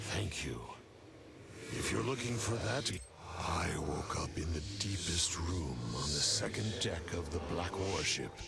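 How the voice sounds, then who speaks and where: A man's put-on character voice at a very deep, low pitch and a fairly slow pace, over loud background noise. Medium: machinima.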